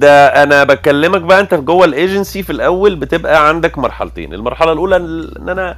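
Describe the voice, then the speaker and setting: A man at a moderate pace with hardly any pauses. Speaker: senior creative director in advertising. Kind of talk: online audio room interview.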